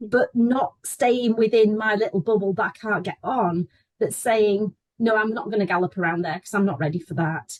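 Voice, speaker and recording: A woman speaks at a moderate pace in a fairly high, somewhat breathy voice with ordinary pitch variation. The sound is dry and close, with no echo. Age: 60s. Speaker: horse riding student. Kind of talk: testimony.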